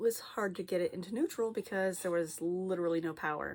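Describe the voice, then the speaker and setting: A woman with a fairly low pitch is captured on a very clean recording against a silent background. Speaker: flosstube cross-stitch vlogger. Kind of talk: casual chat.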